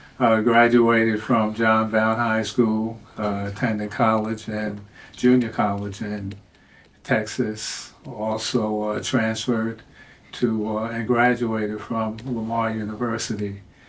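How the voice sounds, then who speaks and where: Amid audible room echo, a man at medium pitch talks very slowly in a flat monotone. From New York, Queens. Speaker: retired court clerk. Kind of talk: casual chat. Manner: halting, many fillers.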